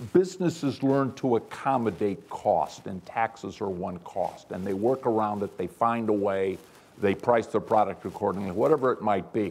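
A man talks at a moderate pace with a fairly low pitch. His pitch varies in an ordinary way. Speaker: manufacturing company CEO; panelist. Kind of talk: panel discussion. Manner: humorous. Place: hall.

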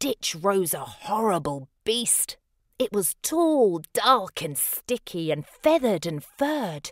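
The text is read aloud plainly against a quiet background.

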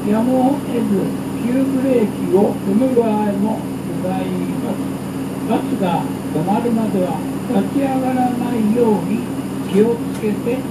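Fairly slow speech with long, frequent pauses under loud background noise. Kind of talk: onboard announcement. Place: bus.

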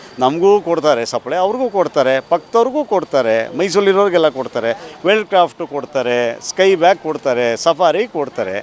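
A man's high-pitched voice with very wide pitch swings, over noticeable background noise. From Mysuru, Karnataka. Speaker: shop owner. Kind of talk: interview.

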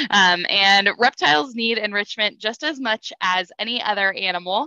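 A woman speaks with ordinary pitch variation over a quiet background. The sound is dry, with no echo. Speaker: aquarium educator. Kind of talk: online lesson for kids. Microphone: headset.

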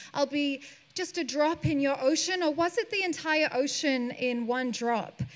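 The tone is dramatic, with ordinary pitch variation. The pace is fairly slow. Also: woman. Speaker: poet. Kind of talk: poetry performance. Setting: stage with audience. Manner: expressive spoken-word delivery, lyrical, rhythmic, dramatic pauses; calm, grounded, serene. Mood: calm, wry, expressive. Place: stage. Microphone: handheld.

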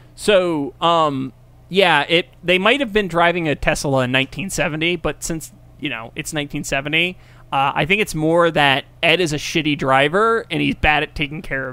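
The tone is bright and sharp, the pace fairly slow, and the pitch variation ordinary. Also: man, fairly high pitch for a man. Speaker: podcast co-host. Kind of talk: casual comedic chat.

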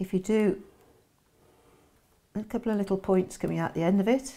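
A woman speaks at a medium pitch with ordinary pitch variation. Her tone is dark and mellow.

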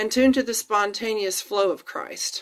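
A woman with an American accent talks at a fairly slow pace. The background is quiet. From Florida, USA. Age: 50s. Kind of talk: read-aloud personal testimony blog. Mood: earnest, warm, reflective. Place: home room. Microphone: phone near.

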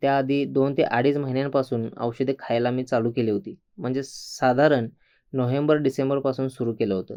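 A man's unremarkable speaking voice, medium in pitch, with fairly even intonation. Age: 60s. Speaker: patient. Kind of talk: testimony.

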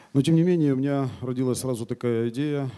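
With ordinary pitch variation, this man's tone is dark and mellow. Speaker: politician. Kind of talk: panel discussion. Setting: stage with audience. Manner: halting. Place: hall. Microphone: handheld.

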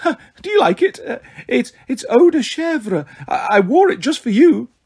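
Putting on a character voice, a man uses an extremely high falsetto with very wide pitch swings at a fairly slow pace. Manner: forced, flirtatious.

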